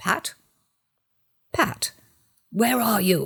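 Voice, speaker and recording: This is a put-on character voice. It is raspy and fairly high in pitch. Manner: angry.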